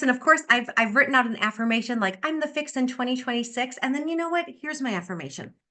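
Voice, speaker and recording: A woman's high, bright, sharp voice, raised and projected, at a very fast pace with ordinary pitch variation. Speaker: sales director. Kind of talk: motivational talk on video call. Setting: video call. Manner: animated.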